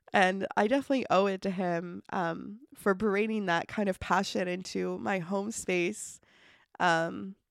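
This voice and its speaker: On a very clean recording with a silent background, the speaker talks fairly slowly in a Canadian Maritime accent with ordinary pitch variation. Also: woman. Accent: Canadian Maritimes. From Nova Scotia, Canada (Truro). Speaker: podcast host. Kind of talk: solo podcast monologue. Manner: casual, many fillers and laughs.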